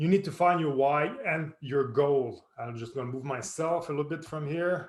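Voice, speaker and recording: Using ordinary pitch variation, a man talks at a fairly slow pace and fairly high pitch. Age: 40s. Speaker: personal trainer. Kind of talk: tutorial. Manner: halting.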